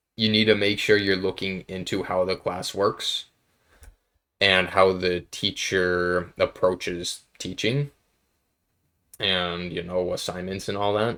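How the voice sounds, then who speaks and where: On a very clean recording with a silent background, a man with a very deep, low pitch and a bright, sharp tone speaks at a very slow pace in a monotone, flat intonation, with long, frequent pauses. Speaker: college student. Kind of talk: casual talk to camera.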